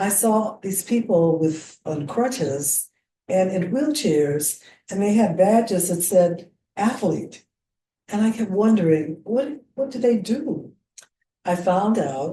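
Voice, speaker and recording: Very slow and somewhat breathy, a woman with an American accent speaks at a medium pitch with lively intonation. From US Midwest, Missouri (Jefferson City). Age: 80s+. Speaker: senior athlete and businesswoman. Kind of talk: casual chat. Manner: halting.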